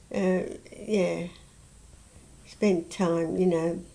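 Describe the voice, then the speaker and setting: With a southern English accent, a woman speaks at a very slow pace in a dark, mellow tone, her fairly low pitch following fairly even intonation. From Southern England. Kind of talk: interview answer. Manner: hesitant, halting.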